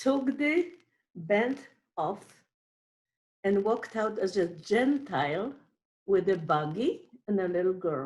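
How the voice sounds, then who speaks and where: In a Polish accent, a woman speaks at a medium pitch with very wide pitch swings. Her pace is very slow, broken by long, frequent pauses. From Poland. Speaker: Holocaust survivor. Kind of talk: testimony. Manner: halting.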